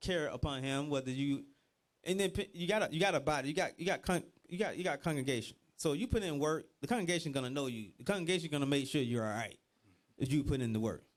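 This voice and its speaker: Talking at a fairly quick pace with a Georgia accent, a man with a fairly high pitch shows ordinary pitch variation. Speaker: religious teacher. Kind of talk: bible class teaching. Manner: animated.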